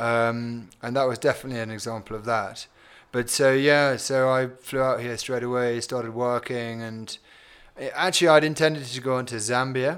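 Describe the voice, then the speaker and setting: Speaking at medium pitch and a moderate pace, a man keeps his intonation fairly even. The recording is very clean, with a silent background. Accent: British. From England. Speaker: company CEO. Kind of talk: interview.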